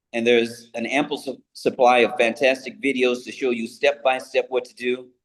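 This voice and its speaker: A man with an American accent speaks at medium pitch and a fairly slow pace in a plain, everyday voice. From US Pacific Northwest, Seattle. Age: 60s. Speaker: international trade entrepreneur. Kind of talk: interview.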